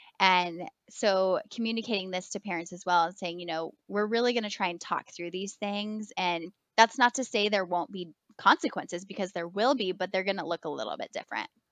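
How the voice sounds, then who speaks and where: With an ordinary speaking voice, a woman talks at a fairly quick pace and medium pitch, her pitch varying in an ordinary way. The sound is dry and close with no echo, over a quiet background. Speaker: elementary school teacher. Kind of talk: podcast interview.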